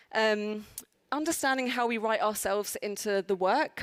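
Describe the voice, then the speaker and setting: On a very clean recording with a silent background and a dry, close sound with no echo, a woman with a South London accent talks at a moderate pace with ordinary pitch variation. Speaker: conference speaker. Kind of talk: conference talk. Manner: hesitant, many fillers.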